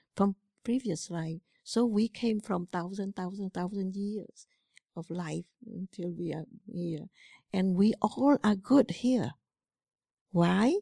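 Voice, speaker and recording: A woman with a Cambodian accent speaks very slowly in a dark, mellow tone, with long, frequent pauses and big swings in loudness. The recording is very clean and dry, close with no echo, and the background silent. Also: medium pitch for a woman, ordinary pitch variation. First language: Khmer. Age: 70s. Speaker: Buddhist monastic teacher. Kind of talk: dharma talk. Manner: halting.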